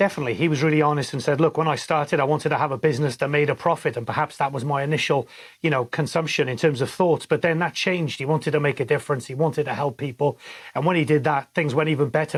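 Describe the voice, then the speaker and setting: Very fast, somewhat breathy speech from a man with a Welsh accent, fairly high in pitch with fairly even intonation, on a very clean recording with a silent background. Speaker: podcast co-host, former sports journalist. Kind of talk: casual interview chat.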